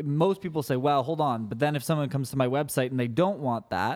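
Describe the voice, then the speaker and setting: The pitch moves in an ordinary way. The pace is very fast. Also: man. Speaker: social media marketing business owner. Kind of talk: casual interview.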